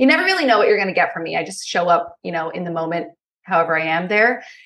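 A woman's plain, everyday voice with an American accent, medium in pitch with ordinary variation. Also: quiet background. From Pennsylvania. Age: 20s. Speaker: podcaster. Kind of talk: interview.

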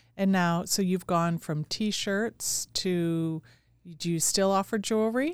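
In a very clean recording with a silent background, a woman uses a normal speaking voice at a fairly slow pace with ordinary pitch variation. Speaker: podcast host. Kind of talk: interview.

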